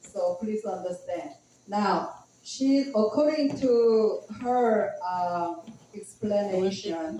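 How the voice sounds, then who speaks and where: Someone speaks very slowly with a Korean accent. Background noise is noticeable. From South Korea. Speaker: Bible class interpreter. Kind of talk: interpreting a Bible lesson. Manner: halting.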